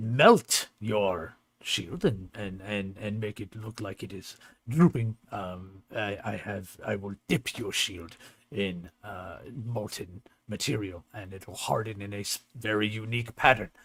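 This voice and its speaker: A man performs a put-on character voice at a fairly low pitch. He goes at a fairly slow pace, and the recording is very clean with a silent background. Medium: actual play. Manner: friendly, plain-spoken.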